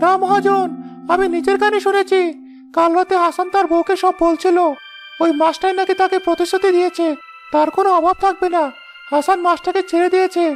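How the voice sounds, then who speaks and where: Over clear music in the background, a cartoonish character voice speaks at a moderate pace. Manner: eager, fawning.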